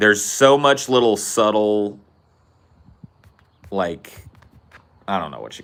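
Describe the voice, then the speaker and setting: In a Californian accent, a man speaks at a very slow pace, leaving long, frequent pauses. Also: fairly low pitch for a man, ordinary pitch variation. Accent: California regional accent, easily placed. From Central California. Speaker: podcast host. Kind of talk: casual chat. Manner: animated.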